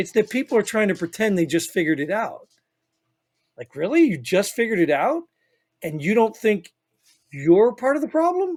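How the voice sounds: In a put-on character voice that is raspy and fairly high, the speaker moves at a moderate pace with very wide pitch swings and long, frequent pauses, on a very clean recording with a silent background.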